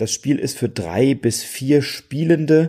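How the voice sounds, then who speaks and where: Speaking at a very slow pace, a man uses lively intonation in a dark, mellow, relaxed tone. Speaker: board game podcaster. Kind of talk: solo podcast monologue.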